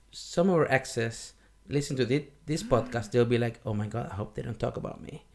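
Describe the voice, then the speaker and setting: At a fairly quick pace, a man talks with vocal fry and ordinary pitch variation. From Venezuela. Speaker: podcast co-host. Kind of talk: casual chat.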